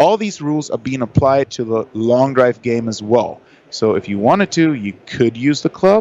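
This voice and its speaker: At a moderate pace, someone speaks with a German accent. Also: man. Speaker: long drive golfer. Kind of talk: interview. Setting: trade show.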